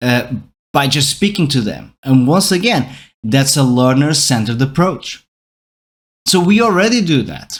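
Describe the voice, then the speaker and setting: A man with a Portuguese accent talks at a moderate pace, pausing long and often. His pitch is fairly high and his intonation lively. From Portugal. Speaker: podcast host, educator. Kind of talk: educational monologue podcast. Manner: conversational with fillers and self-corrections.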